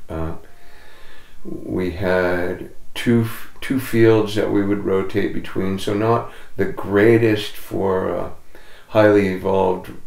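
With audible room echo, a man speaks at a very slow pace and a fairly low pitch, leaving long, frequent pauses. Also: ordinary pitch variation. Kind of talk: interview answer. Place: home room.

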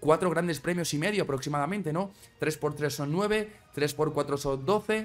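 Over faint background music, a man speaks at a fairly high pitch and a fairly slow pace, with ordinary pitch variation. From Spain. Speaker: Formula 1 YouTuber. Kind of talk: casual commentary video. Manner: animated.

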